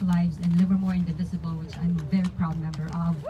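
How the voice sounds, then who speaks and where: With audible room echo, a woman speaks with a Filipino accent at a fairly low pitch. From Philippines. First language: Tagalog. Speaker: community activist. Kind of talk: public speech at a rally.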